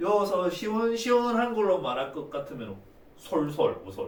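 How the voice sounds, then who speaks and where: Speaking in a Busan accent, a man keeps a fairly slow pace. There is noticeable background noise along with audible room echo. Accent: Busan dialect (put on deliberately today). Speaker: math teacher. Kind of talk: lecture. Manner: casual, joking.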